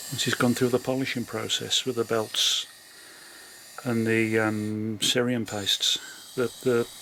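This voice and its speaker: With long, frequent pauses, a man speaks fairly slowly at a medium pitch in a monotone, flat delivery with very even loudness, over noticeable background noise. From West Midlands, England (Birmingham). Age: 60s. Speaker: glass slide maker. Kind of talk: interview. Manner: hesitant, many fillers.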